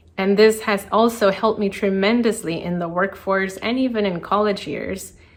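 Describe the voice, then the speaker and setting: Medium-pitched female voice with fairly even intonation at a moderate pace, noticeable background noise behind it. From Colombia, then South Florida from age eight. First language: Spanish. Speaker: designer and entrepreneur. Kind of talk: prepared personal talk.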